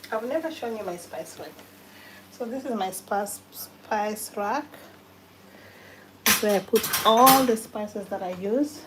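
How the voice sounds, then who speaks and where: Through noticeable background noise, a woman speaks fairly slowly with long, frequent pauses. Her pitch is fairly high with ordinary variation, and her loudness swings widely. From Kenya. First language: a Kenyan language. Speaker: cooking livestreamer. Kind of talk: live cooking stream. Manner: casual, conversational.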